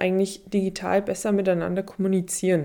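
This woman's medium-pitched voice has a dark, mellow tone and a monotone, flat intonation, moving at a moderate pace. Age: 30s. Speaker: journalism professor and podcast host. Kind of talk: solo podcast monologue.

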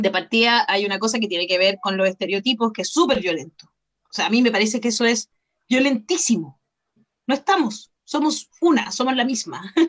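A woman with a Chilean accent and a fairly high pitch. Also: lively intonation, fairly quick pace. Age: 40s. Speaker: journalist. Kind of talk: casual chat.

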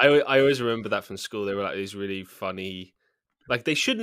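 A man with a British accent speaks at a medium pitch in a bright, sharp tone. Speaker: actor and musician. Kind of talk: casual chat. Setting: remote call, different time zones.

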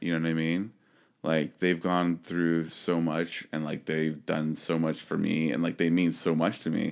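A man speaks at a fairly slow pace in a very deep, low voice. His delivery is monotone and flat, with very even loudness. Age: 30s. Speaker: podcast co-host. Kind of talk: casual chat. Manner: halting.

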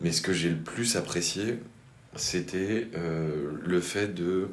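There is audible room echo around a man's very deep, low voice. He speaks at a very slow pace with fairly even intonation. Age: 30s. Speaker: architect, cooperative co-founder. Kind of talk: interview. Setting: in his office. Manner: halting.

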